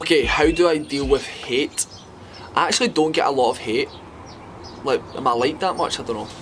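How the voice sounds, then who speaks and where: Amid noticeable background noise, a man with a Scottish accent talks at a fairly quick pace broken by long, frequent pauses. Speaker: fitness influencer. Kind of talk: casual talk to camera.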